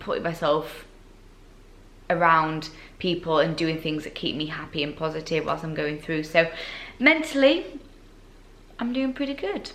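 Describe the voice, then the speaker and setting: With a Yorkshire accent, a woman talks at a moderate pace in a very deep, low voice, with ordinary pitch variation and audible room echo. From Yorkshire, northern England. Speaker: fitness competitor and vlogger. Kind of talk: casual Q&A vlog. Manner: chatty, with fillers.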